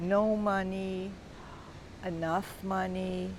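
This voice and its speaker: The intonation is monotone and flat. Audible room echo surrounds the voice. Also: woman. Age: 60s. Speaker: wellness course creator. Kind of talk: personal explanation monologue. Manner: casual, somewhat halting.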